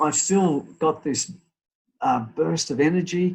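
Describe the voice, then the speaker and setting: A man with an Australian accent speaks at a fairly slow pace. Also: quiet background. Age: 60s. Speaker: real estate business owner. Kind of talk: interview. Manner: halting, many repeated words.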